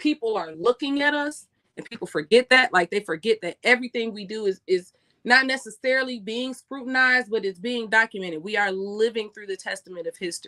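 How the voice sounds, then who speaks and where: An animated woman with an American accent speaks fairly quickly in a fairly high pitch, her intonation lively and her tone bright and sharp. Her loudness swings widely, and the sound is dry and close with no echo. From USA. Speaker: live streamer, commentator. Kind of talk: live stream commentary. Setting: live stream.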